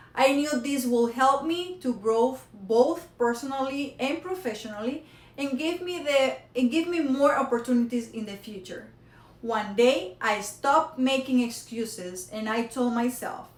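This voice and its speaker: In a Spanish accent, a woman speaks fairly slowly at a high pitch. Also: ordinary pitch variation. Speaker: college student. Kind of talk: prepared speech. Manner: halting.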